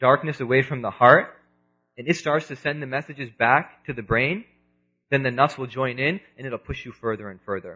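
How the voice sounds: At a fairly quick pace, a man speaks at a medium pitch with a bright, sharp tone, a slightly husky edge and ordinary pitch variation.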